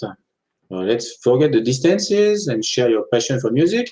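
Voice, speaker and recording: In a French accent, a man speaks at a moderate pace with a dark, mellow tone and very wide pitch swings. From France, Annecy (French Alps). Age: 40s. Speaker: author. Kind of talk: interview.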